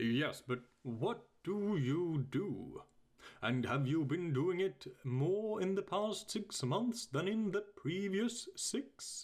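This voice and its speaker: Using a put-on character voice, a man talks at a very slow pace in a high pitch. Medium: read story. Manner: bluff, commanding.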